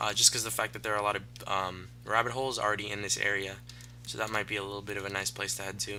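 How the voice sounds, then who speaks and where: An animated man talks at a very fast pace. His pitch sits fairly low. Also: ordinary pitch variation. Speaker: gaming commentator. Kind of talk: let's play commentary. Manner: halting, stuttering; casual, animated.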